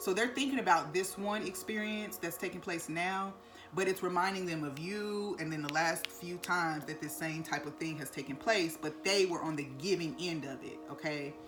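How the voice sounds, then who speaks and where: A woman's fairly low voice with ordinary pitch variation, hardly any pauses and audible room echo. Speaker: tarot card reader. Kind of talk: tarot reading to camera. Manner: fast.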